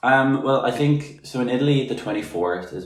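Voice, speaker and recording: A fairly low-pitched man with an Irish accent, very wide pitch swings, and a fairly quick pace. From Republic of Ireland. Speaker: podcast guest, artist. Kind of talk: casual chat.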